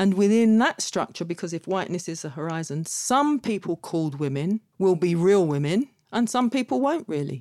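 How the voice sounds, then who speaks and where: A woman with a London accent has a dark, mellow tone at a medium pitch, with very wide pitch swings. She speaks at a moderate pace with hardly any pauses, in a dry, close sound with no echo. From London, Kilburn. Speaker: activist and academic. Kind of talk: casual conversation.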